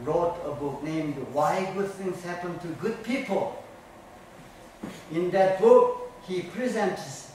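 A high-pitched man speaks very slowly with ordinary pitch variation, amid strong room echo and light background noise. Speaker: martial arts instructor. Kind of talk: lecture. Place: gym.

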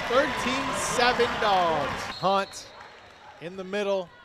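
Against noticeable background noise, a man speaks high for a male voice with lively intonation. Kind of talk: live commentary.

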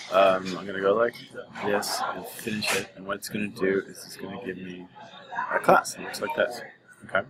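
A man speaks at a moderate pace with big swings in loudness and long, frequent pauses over noticeable background noise. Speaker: programming teacher. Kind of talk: tutorial. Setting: coffee shop. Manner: soft-spoken.

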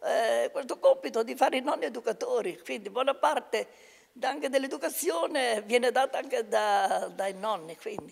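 Against a quiet background, a woman talks at a moderate pace. Her high voice swings very widely in pitch. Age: 90s. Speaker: retired local politician and community organizer; retired local politician. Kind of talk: interview. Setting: rehabilitation institute. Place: home room. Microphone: handheld.

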